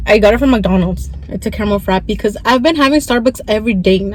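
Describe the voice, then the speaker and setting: A woman at a medium pitch talks very fast over noticeable background noise. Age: 20s. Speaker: vlogger. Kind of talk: casual vlog story time. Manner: stuttering, halting; chatty, code-switching.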